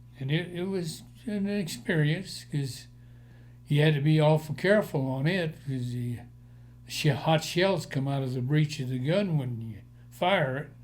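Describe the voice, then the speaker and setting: Audible room echo surrounds a man speaking at a fairly slow pace. His voice is fairly high and somewhat breathy, with ordinary pitch variation. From Colorado, Denver area. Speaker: war veteran. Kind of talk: oral history interview.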